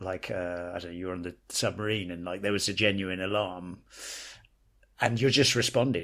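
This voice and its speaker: With an American accent, a man speaks in a fairly low pitch on a very clean recording with a silent background. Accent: British, shifts toward American abroad. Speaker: podcast co-host. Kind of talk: casual chat. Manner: halting, hesitant.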